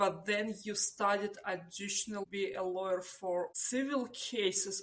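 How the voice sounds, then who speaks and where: A woman with an unremarkable speaking voice speaks at a medium pitch and fairly slow pace, her intonation fairly even. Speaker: podcast host. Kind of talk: podcast interview questions.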